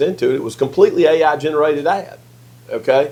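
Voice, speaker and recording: A man speaks with a Mississippi accent. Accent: US Southern (Mississippi). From Mississippi, Yazoo City. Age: 60s. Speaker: political strategist and lobbyist. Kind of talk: casual interview conversation. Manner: hesitant, repetitive false starts.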